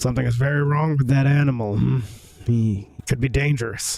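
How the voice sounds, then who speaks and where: Faint music plays in the background as a man puts on a character voice at a fairly quick pace. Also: medium pitch for a man. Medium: game stream.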